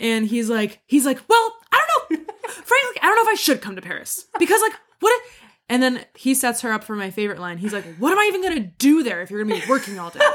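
A woman's high voice at a very fast clip, with very wide pitch swings and big jumps in loudness. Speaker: podcast co-host. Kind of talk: casual chat, recap podcast. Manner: jokey, laughs a lot.

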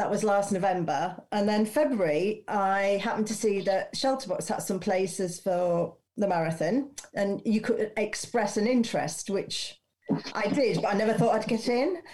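This woman talks at a moderate pace with very even loudness, ordinary pitch variation, and a somewhat breathy quality. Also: medium pitch for a woman. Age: 50s. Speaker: first-time marathon runner. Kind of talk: casual chat.

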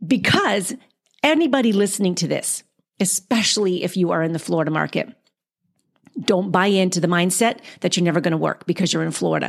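A woman's animated voice with vocal fry, ordinary pitch variation, a fairly quick pace and long, frequent pauses. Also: medium pitch for a woman. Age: 50s. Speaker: podcast host and actor. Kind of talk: casual interview chat. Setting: remote call.

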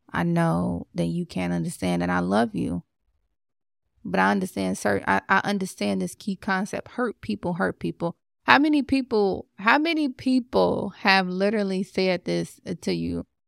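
An animated voice, recorded very cleanly against a silent background, with a dry, close sound and no echo. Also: woman, moderate pace. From Chicago, US. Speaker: life coach and podcast host. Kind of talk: motivational podcast monologue.

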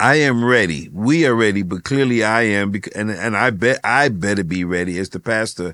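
This is a man with a normal speaking voice. The recording is very clean, with a silent background. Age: 60s. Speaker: ministry leader. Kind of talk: casual chat.

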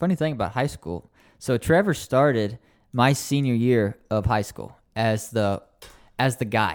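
In a very clean recording with a silent background, a man with an unremarkable speaking voice talks at a medium pitch and a fairly slow pace, his intonation lively. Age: 20s. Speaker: young adult pastor. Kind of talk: casual chat.

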